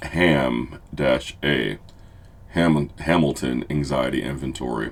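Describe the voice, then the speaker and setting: Noticeable background noise runs under this recording. A man talks with a very deep, low pitch and ordinary pitch variation. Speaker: therapist. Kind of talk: tutorial. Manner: occasional stumbles and self-corrections.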